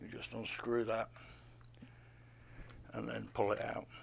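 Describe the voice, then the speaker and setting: Here a man is speaking. His pace is fairly slow. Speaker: shop staff reviewer. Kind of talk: product walkthrough. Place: shop. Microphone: phone near.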